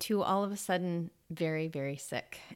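The speaker has a Californian accent and a fairly slow pace with ordinary pitch variation, in a very clean recording with a silent background. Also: woman. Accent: Californian American. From Los Angeles, US. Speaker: yoga teacher. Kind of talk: interview. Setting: office studio.

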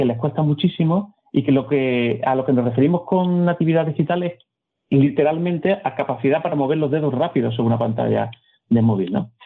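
Very fast and lively in intonation, a man speaks at a fairly high pitch. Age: 50s. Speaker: economist and philosopher. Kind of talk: interview. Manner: halting, repeats words.

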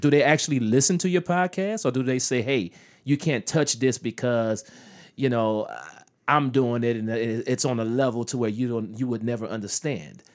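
A man with medium pitch, a normal speaking voice, moderate pace and ordinary pitch variation. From US. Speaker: comedian and actor. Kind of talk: casual chat.

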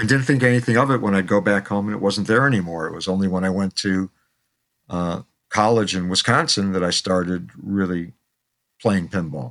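With a plain, everyday voice, a man speaks at a fairly quick pace and fairly low pitch, with ordinary pitch variation, on a very clean recording with a silent background. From Chicago, South Side. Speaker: pinball pioneer and author. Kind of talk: interview storytelling.

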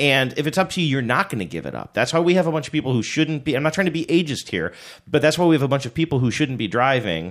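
On a very clean recording with a silent background, a loud man speaks very fast with vocal fry and very wide pitch swings. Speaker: podcast host. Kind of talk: casual chat.

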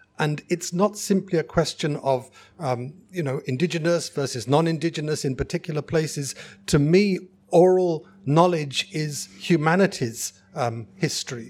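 Speaking with an English accent, a man talks at a moderate pace in a fairly high pitch with ordinary pitch variation. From England. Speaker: geoscientist. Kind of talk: live festival panel discussion. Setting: stage with live audience.

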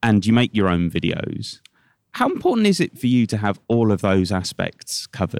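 In a normal speaking voice, a man talks with ordinary pitch variation and very even loudness, the sound dry and close with no echo. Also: fairly low pitch for a man, moderate pace. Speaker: radio interviewer. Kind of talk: radio interview.

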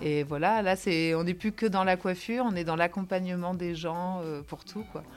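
A woman talks at a moderate pace with lively intonation. Hers is a plain, everyday voice. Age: 30s. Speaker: nursing home hairdresser. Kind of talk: testimony.

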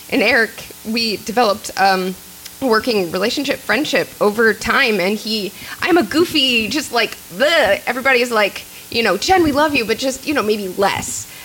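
This woman has a fairly high pitch and lively intonation, with an American accent. She talks at a moderate pace over noticeable background noise. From Kansas City, Missouri. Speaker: filmmaker and actor. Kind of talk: panel discussion. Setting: stage with audience.

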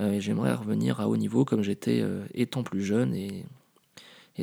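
With a dark, mellow tone, the voice moves at a moderate pace as its pitch swings very widely. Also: man. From Paris, France. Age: 30s. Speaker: podcaster. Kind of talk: casual monologue. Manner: hesitant, many fillers.

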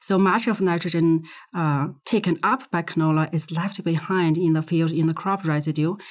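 On a very clean recording with a silent background, a woman with a Chinese accent speaks at a moderate pace, her fairly low pitch ordinarily varied. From Inner Mongolia, China. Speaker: soil science professor. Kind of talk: interview. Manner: hesitant, frequent fillers.

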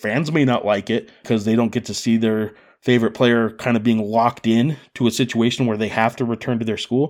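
Here is a man with a normal speaking voice, medium in pitch with fairly even intonation. He talks at a fairly quick pace in a very clean recording with a silent background. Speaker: sports journalist podcast host. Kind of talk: interview.

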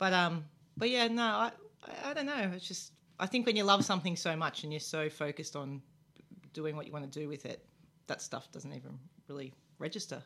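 A woman with an Australian accent speaks at a fairly quick pace in a fairly low pitch, with a bright, sharp tone, lively intonation and big swings in loudness. She leaves long, frequent pauses, and the recording is very clean with a silent background. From Melbourne, Australia. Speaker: former professional basketball player. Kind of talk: interview. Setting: radio studio.

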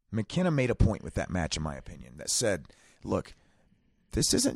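Vocal fry and very wide pitch swings mark this voice at a moderate pace, with a dry, close sound, no echo and a quiet background. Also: man. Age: 30s. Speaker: wrestling podcast co-host. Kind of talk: casual chat. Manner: animated.

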